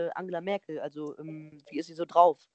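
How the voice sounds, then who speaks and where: The sound is dry and close, with no echo. A woman talks in a dark, mellow tone. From Lower Rhine, Germany (Neuss). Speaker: podcast host. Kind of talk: interview.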